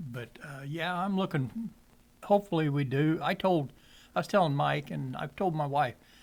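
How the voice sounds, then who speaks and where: An ordinary speaking voice from a man with an American accent, fairly high in pitch, with ordinary pitch variation. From southwestern Illinois, Wood River area. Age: 60s. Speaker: podcast guest. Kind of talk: casual chat. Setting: cigar shop.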